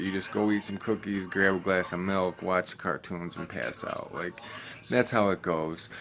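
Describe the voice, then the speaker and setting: Amid noticeable background noise, a man with an American accent speaks fairly slowly at a fairly low pitch in a monotone, flat intonation. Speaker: vlogger. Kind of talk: casual vlog talk. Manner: low energy, many fillers.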